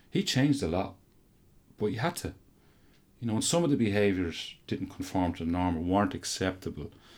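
In a very clean recording with a silent background, a man with an Irish Midlands accent talks in a fairly low voice. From Ireland, County Offaly. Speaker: university lecturer in coaching science. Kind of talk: interview.

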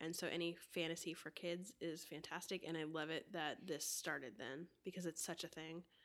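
Set against a silent background in a very clean recording, a plain, everyday voice moves at a fairly quick pace. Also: woman. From US, Florida. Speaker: podcast host. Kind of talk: casual chat.

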